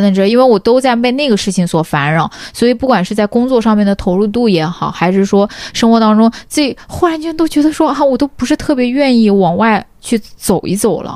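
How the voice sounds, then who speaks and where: A woman talks at a fairly quick pace with hardly any pauses. She has an ordinary speaking voice and lively intonation. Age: 20s. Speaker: tech company employee, wellness enthusiast. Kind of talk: casual chat.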